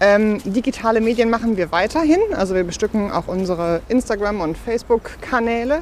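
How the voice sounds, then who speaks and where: A woman with a fairly high pitch speaks over noticeable background noise. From Ruhr area, Bochum. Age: 30s. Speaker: pastor. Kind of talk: casual interview while walking. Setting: outdoors, walking.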